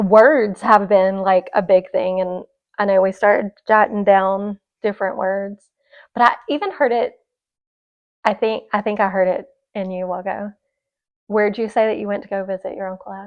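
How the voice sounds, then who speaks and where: With an American accent, a woman speaks at a moderate pace in a flat monotone, leaving long, frequent pauses as her loudness swings widely. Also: medium pitch for a woman. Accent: Southern, stronger and more country at home. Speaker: podcast co-host. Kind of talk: casual chat.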